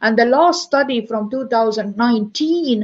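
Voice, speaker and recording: With an Estonian accent, a woman speaks in a fairly high pitch and ordinary pitch variation. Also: quiet background. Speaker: university professor. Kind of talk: conference lecture. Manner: halting, many fillers.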